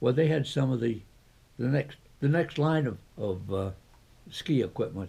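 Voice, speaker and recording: Somewhat breathy and dark, mellow in tone, a man talks at medium pitch and a moderate pace with ordinary pitch variation. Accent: American. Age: 80s+. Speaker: retired ski area founder. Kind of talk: interview answer.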